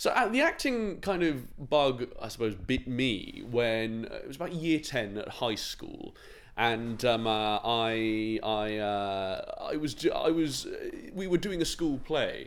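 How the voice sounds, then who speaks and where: Here a man speaks at a fairly slow pace. His fairly high pitch moves in very wide swings. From Shropshire, England. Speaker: actor. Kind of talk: interview. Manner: halting.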